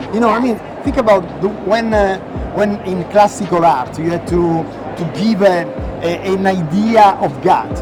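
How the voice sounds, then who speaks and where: Over background music, a man with a high voice speaks at a moderate pace with ordinary pitch variation, and room echo is audible. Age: 50s. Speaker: designer. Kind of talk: interview.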